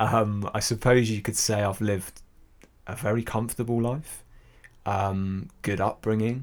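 A man with a British accent at a fairly low pitch, fairly even intonation and a fairly slow pace. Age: 30s. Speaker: podcast host. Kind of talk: personal monologue. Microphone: new sensitive mic picking up room noise.

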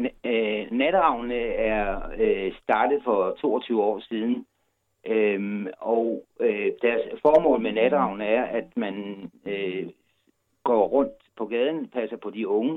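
A man talks at a very slow pace. His pitch moves with ordinary variation. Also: medium pitch for a man. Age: 60s. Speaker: volunteer night-walk organizer. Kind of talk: interview. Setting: phone call. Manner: halting.

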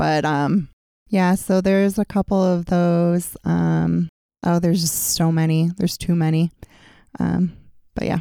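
On a very clean recording with a silent background, a dark, mellow voice in an American accent speaks at a fairly slow pace with long, frequent pauses, monotone, flat intonation and very even loudness. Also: woman, fairly low pitch for a woman. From upstate New York. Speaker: podcast co-host, library staff. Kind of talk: casual chat. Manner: loud, projecting.

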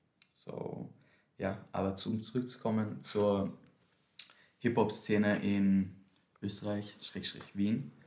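A man's fairly low, dark, mellow voice with fairly even intonation, long, frequent pauses and audible room echo. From Austria, Vienna. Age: 20s. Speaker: dancer and dance teacher. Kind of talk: casual chat. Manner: mixes German and English.

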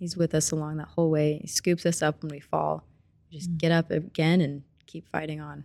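A woman's very deep, low voice with an American accent, dark, mellow tone, monotone, flat intonation, moderate pace and big swings in loudness. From US Midwest (Springfield, Missouri). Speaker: student, former ministry intern. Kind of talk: casual interview testimony.

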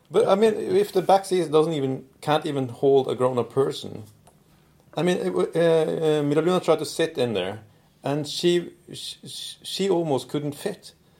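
This is a normal speaking voice from a man with a fairly high pitch. He uses lively intonation and keeps a moderate pace. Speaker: podcast host. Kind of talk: casual chat. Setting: studio.

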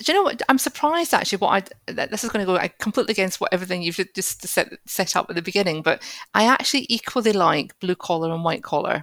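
A woman's very fast, lively-intoned delivery at medium pitch, with hardly any pauses and a dry, close sound with no echo. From Scotland. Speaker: property investor. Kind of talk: casual chat.

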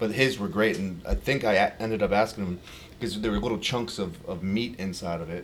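A man with an American accent talks at a fairly quick pace in a normal speaking voice. His pitch is fairly low, with ordinary variation. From Virginia. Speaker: pitmaster and caterer. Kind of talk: casual chat.

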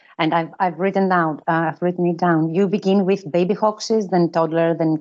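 A woman at a moderate pace with fairly even intonation, music playing behind her. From Greece. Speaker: interviewer. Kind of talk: interview. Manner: halting, many filler sounds.

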